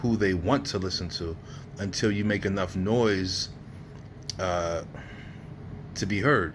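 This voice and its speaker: In a New Jersey accent, a man talks at a fairly slow pace with fairly low pitch and ordinary pitch variation, and the room echo is audible. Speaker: entrepreneur vlogger. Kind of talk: casual monologue vlog. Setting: hotel room. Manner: hesitant, many fillers.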